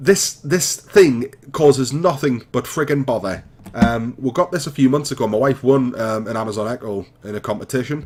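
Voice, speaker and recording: Hardly pausing, a man talks at a moderate pace and medium pitch with ordinary pitch variation. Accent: Geordie. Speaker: gaming YouTuber. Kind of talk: casual chat; let's play commentary. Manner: hesitant, many fillers.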